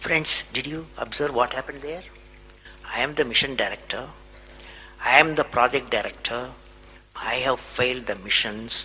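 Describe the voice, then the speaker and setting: Music plays behind a man with a Tamil Indian accent, speaking at a moderate pace with long, frequent pauses. His pitch is medium, with ordinary variation. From Tamil Nadu, India. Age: 70s. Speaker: aerospace scientist and former president. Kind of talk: motivational speech to an audience.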